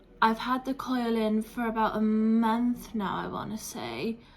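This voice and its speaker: A woman with a British accent, fairly high in pitch, at a fairly slow pace. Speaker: vlogger. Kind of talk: casual vlog chat. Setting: at home, flat.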